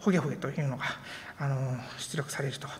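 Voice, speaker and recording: A woman talking at a very fast pace. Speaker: conference speaker, software engineer; conference speaker. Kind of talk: conference talk. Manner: halting with many fillers. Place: hall.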